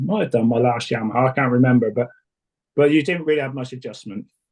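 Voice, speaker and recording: This man talks at a very fast pace in a medium pitch. His voice is somewhat breathy. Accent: English. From England. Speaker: suspension tuner, former race support mechanic. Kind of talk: interview. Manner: hesitant, many fillers.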